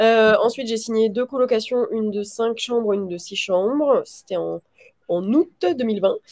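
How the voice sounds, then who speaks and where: This woman speaks with a fairly high pitch and a dark, mellow tone. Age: 20s. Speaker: real estate investor and trainer. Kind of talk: interview. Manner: halting.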